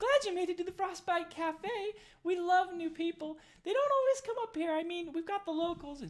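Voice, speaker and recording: A squeaky put-on character voice at an extremely high pitch and a fairly quick pace. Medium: actual play. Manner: bubbly, enthusiastic.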